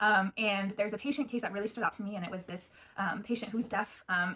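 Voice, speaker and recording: A woman with an American accent speaks at a very fast pace. Her pitch is medium. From US Pacific Northwest. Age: 20s. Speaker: genetic counseling assistant and program applicant. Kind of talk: video interview self-introduction. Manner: hesitant with many fillers.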